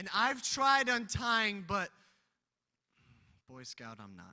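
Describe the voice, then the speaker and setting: A man speaks in a raised, projected voice with a bright, sharp tone. His pace is fairly slow. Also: quiet background. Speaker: spoken word poet. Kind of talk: spoken word poetry performance. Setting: live convention stage.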